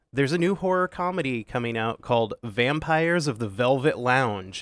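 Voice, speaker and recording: An unremarkable speaking voice comes from a man with a medium pitch and lively intonation at a moderate pace. The sound is dry and close with no echo, on a very clean recording with a silent background. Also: hardly any pauses. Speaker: podcast host. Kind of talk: casual chat, comedic movie review. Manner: joking, playful.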